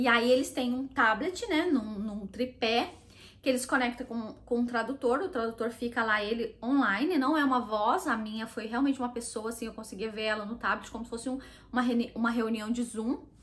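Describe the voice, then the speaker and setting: A woman with a Brazilian accent speaks at a moderate pace in a high voice with ordinary pitch variation. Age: 30s. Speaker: vlogger. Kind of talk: casual talk to camera.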